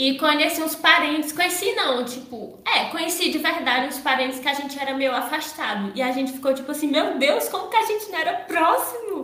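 A woman with a high pitch uses a raised, projected voice at a fairly quick pace, with lively intonation and hardly any pauses. Noticeable background noise and audible room echo come through. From Ceará, Brazil. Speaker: podcast host. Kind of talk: casual chat.

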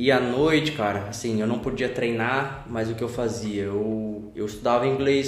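A man talks at a moderate pace and medium pitch, his intonation fairly even. Music plays in the background, and the room echo is audible. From São Paulo state interior, Brazil. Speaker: jiu-jitsu student. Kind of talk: casual interview.

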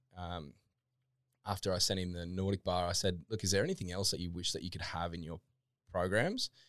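With an Australian accent, a man with a very deep, low pitch talks at a fairly quick pace in a monotone, flat intonation, captured in a very clean recording with a silent background. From Queensland, Australia (Toowoomba). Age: 30s. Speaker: fitness equipment business founder. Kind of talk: casual chat. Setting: studio.

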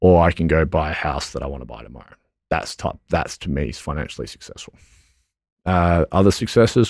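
On a very clean recording with a silent background, a man with an Australian accent talks at a fairly quick pace in a very deep, low pitch, with vocal fry, lively intonation and big swings in loudness. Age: 20s. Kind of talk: interview. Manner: halting.

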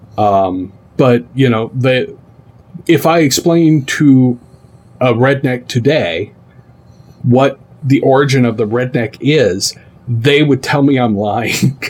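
Very slow, somewhat breathy speech with long, frequent pauses and very even loudness. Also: man, medium pitch for a man, ordinary pitch variation. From Tennessee, Oak Ridge. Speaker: gaming content creator. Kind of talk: casual chat.

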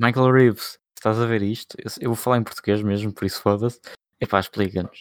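On a very clean recording with a silent background and a dry, close sound free of echo, a man speaks fairly quickly at a fairly low pitch in a monotone, flat delivery. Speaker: podcast co-host. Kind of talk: casual chat.

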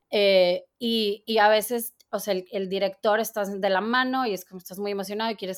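A woman of medium pitch with an unremarkable speaking voice and fairly even intonation. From Mexico, Torreón, Coahuila. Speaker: costume designer. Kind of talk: interview.

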